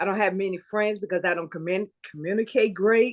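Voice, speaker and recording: At a moderate pace, a normal speaking voice talks with fairly even intonation. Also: woman. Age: 60s. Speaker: guest sharing a grief and trauma story. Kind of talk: testimony in conversation.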